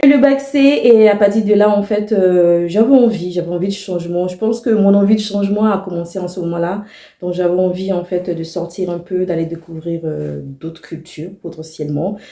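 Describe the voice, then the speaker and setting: Barely pausing, a woman at medium pitch talks at a moderate pace with ordinary pitch variation. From Ivory Coast, Abidjan (Abobo). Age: 30s. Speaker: vlogger. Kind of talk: personal vlog monologue. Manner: casual, hesitant with many fillers.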